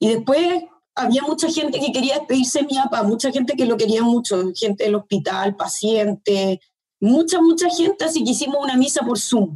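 Here a woman speaks in a Chilean accent. Her pitch is high. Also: moderate pace. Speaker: daughter of a deceased doctor. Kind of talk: testimony. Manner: halting.

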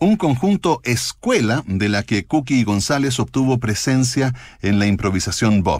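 In a very clean recording with a silent background, a man at medium pitch speaks at a fairly slow pace with lively intonation and very even loudness. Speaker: radio host. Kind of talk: radio music show presentation.

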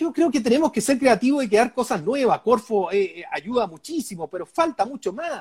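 An extremely high-pitched male voice with very wide pitch swings, a moderate pace, hardly any pauses, and a dry, close sound with no echo. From Chile, Chillán countryside. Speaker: businessman and political candidate. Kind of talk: interview. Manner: halting, repeats words.

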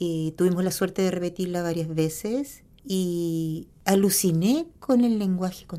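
Speaking at a fairly slow pace, a woman has a medium pitch and a dark, mellow tone. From Chile, Punta Arenas. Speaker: singer and choir director. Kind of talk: interview conversation.

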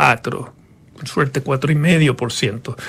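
Noticeable background noise runs behind a man whose pitch is fairly high. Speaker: economist. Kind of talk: interview. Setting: studio.

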